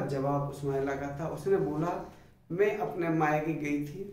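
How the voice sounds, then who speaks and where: A man's fairly high voice in a Bundelkhand accent, with audible room echo and noticeable background noise. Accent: Bundelkhandi Hindi. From Bundelkhand, central India. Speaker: maths teacher, engineer. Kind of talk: motivational talk to camera.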